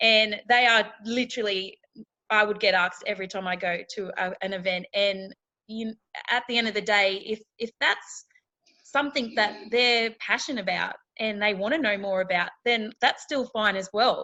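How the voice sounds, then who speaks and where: A woman with a rural Australian accent speaks at a fairly high pitch. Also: moderate pace. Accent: country Australian twang. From outback Australia. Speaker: reality TV contestant and keynote speaker. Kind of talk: interview chat. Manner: animated.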